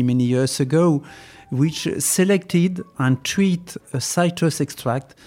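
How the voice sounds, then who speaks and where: A man speaks at a very slow pace. His fairly high pitch moves with lively intonation. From France. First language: French (speaking Chinese). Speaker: veterinarian and animal nutritionist. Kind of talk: expert interview in English.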